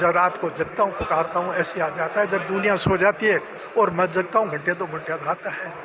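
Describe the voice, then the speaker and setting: Noticeable background noise sits behind a man's high voice. He speaks at a moderate pace in a monotone, flat intonation. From Rajasthan, Churu area. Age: 80s+. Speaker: retired pensioner. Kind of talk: interview. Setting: pensioners' welfare centre.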